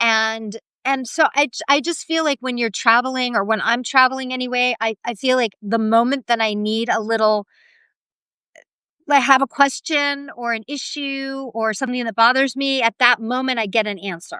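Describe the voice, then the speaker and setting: A woman with an American accent talks at a moderate pace in a high, bright, sharp voice with fairly even intonation. The sound is dry and close with no echo, over a quiet background. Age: 50s. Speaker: expat interviewee. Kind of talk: interview. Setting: live stream.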